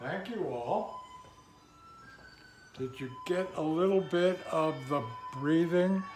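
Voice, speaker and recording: With music in the background and audible room echo, the speaker talks at a very slow pace with ordinary pitch variation and long, frequent pauses. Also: man, high pitch for a man. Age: 80s+. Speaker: qigong and tai chi instructor. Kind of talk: exercise class instruction.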